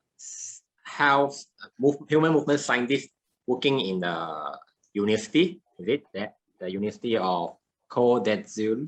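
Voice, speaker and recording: Using a medium pitch with very wide pitch swings, a man talks at a fairly slow pace. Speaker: podcast host. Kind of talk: podcast interview. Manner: halting.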